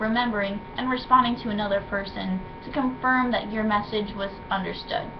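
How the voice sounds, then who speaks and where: Speaking at a fairly quick pace with fairly even intonation, a woman's fairly high voice comes through audible room echo and noticeable background noise. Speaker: student. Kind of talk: reading aloud. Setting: webcam recording. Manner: soft-spoken; halting.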